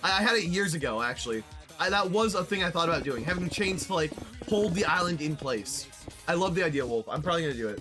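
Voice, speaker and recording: Over music in the background, a high-pitched man talks very fast with lively intonation. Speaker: streamer. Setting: live stream while playing a building game. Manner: fast talker.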